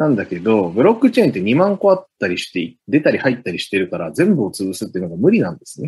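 This man talks at a very fast pace with hardly any pauses, his medium-pitched voice making very wide pitch swings. His loudness also swings widely. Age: 30s. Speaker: blockchain engineer. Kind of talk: explanatory interview talk.

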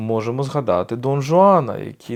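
In a very clean recording with a silent background, a man with a plain, everyday voice speaks at a fairly high pitch with lively intonation. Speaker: podcast host, philosopher. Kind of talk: solo lecture.

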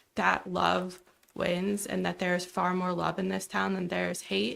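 A woman's voice comes across as shaky. She talks at a moderate pace. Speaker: teacher, public commenter. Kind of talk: public comment at council meeting. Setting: council meeting room.

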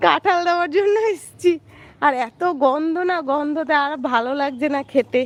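Her voice sits high for a woman, and her pitch varies in an ordinary way. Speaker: vlogger. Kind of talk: casual live stream chat. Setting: rooftop, outdoors.

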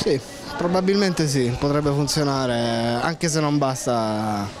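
Clear background noise sits behind a man's voice. He speaks slowly at a medium pitch.

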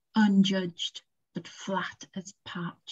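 Against a quiet background, a woman talks in a somewhat breathy voice. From UK, Northern Irish roots, lives West Yorkshire. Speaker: poet. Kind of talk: poetry reading. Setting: video call. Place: home room. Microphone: video call.

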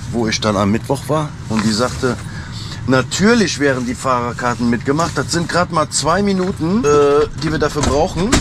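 A man at a moderate pace with lively intonation, dry sound with no echo, and noticeable background noise. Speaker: truck driver vlogger. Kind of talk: casual vlog chat. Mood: annoyed storytelling about an office. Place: car. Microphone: phone near.

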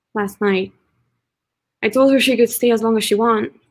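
Against a quiet background, a woman talks with monotone, flat intonation. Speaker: actor, workshop participant; actor. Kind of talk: dramatic scene reading. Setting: video call. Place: home room.

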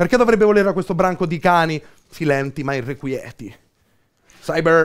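In a Campanian accent, a man speaks at a high pitch and a fairly quick pace with lively intonation. His tone is intense and theatrical against a quiet background. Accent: Campanian (Beneventano), southern Italian. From Benevento, Campania, southern Italy. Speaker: slam poet. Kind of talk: spoken word poetry performance. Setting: live performance, audience present. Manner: rhythmic, intense, theatrical, ironic and self-mocking. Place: shop. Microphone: headset.

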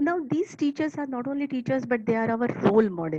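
Very wide pitch swings run through the somewhat breathy voice of a woman. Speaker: school principal. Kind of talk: motivational talk. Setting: online webinar.

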